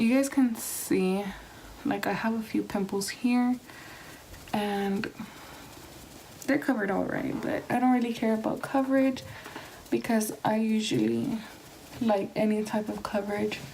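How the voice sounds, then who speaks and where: A woman's fairly high voice at a fairly slow pace, with ordinary pitch variation, long and frequent pauses, and noticeable background noise. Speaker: beauty vlogger. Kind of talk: tutorial. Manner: soft-spoken.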